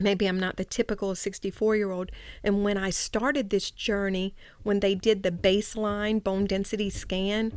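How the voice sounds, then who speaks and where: A woman's medium-pitched voice with a Louisiana accent, monotone and flat in intonation, at a moderate pace, in a very clean recording with a silent background. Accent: Louisiana Southern US. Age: 60s. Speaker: breast cancer patient, host's mother. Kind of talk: podcast interview. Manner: explanatory, hesitant with fillers.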